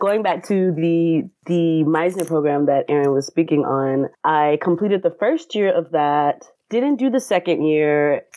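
A plain, everyday voice with an American accent, fairly slow in pace, lively in intonation and very even in loudness. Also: woman, fairly low pitch for a woman. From US South (Atlanta, Georgia). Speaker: actor. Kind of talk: casual interview.

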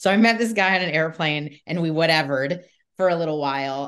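The speaker has a Southern Californian accent and lively intonation at a moderate pace. The background is quiet. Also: woman. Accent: Southern California American. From US West Coast, Southern California. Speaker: comedian and podcast host. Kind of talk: casual interview chat.

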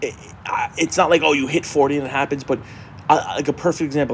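The speech comes in a monotone, flat intonation over noticeable background noise. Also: man. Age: 40s. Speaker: podcast co-host. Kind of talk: casual chat. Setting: garage.

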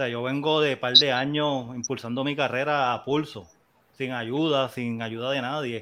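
Recorded very cleanly against a silent background, a man with a bright, sharp tone and medium pitch talks at a fairly slow pace in a flat monotone. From Puerto Rico, Las Piedras. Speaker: music producer and DJ. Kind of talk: casual chat.

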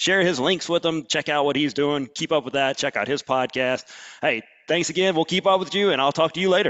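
The speaker is a man with a fairly high pitch that varies in an ordinary way. He moves along at a fairly quick pace. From Alabama. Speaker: podcast host. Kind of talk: casual interview. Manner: fast; animated.

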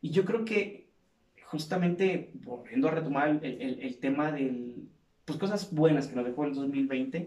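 A man's dark, mellow tone at a fairly slow pace, with lively intonation. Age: 50s. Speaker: podcast host, clinical psychologist and fitness instructor. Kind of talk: casual interview chat.

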